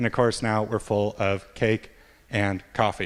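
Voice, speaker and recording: The recording is very clean, with a silent background. A man speaks with an American accent. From US, Montana. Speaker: software developer, conference speaker. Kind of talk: conference talk. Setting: stage with audience.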